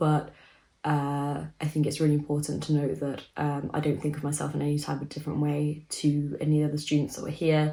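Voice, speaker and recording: A woman speaks with a very deep, low pitch and a dark, mellow tone. Her voice is somewhat breathy. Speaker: vlogger. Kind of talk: casual chat.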